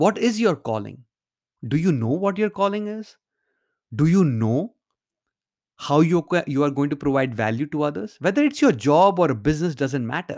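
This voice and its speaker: Speaking at a moderate pace with a fairly high pitch, a man swings his pitch very widely and leaves long, frequent pauses, all on a very clean recording with a silent background. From India. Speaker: podcast host, mindset coach. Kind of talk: motivational monologue. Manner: halting, many fillers.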